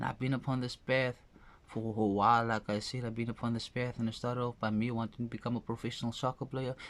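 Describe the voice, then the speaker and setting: The speech races at a very fast pace. Its intonation stays monotone and flat. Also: man. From South Africa, Cape Town (Ravensmead). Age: 20s. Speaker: motivational speaker. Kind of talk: motivational monologue. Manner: repetitive, halting.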